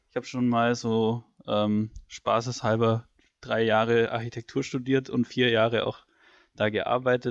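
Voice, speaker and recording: A man speaks at a fairly slow pace against a quiet background. He has an ordinary speaking voice at a medium pitch. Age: 20s. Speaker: student podcast co-host. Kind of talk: casual chat.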